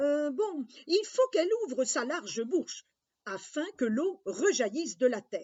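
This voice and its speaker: Moderate-paced speech in a put-on character voice. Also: woman, high pitch for a woman. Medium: read story.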